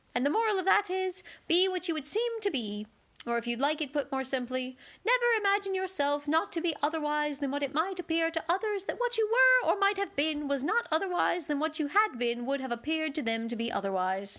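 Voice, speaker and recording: Putting on a squeaky character voice, a woman speaks at an extremely high pitch and a fairly quick pace, her pitch swinging very widely. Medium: read story.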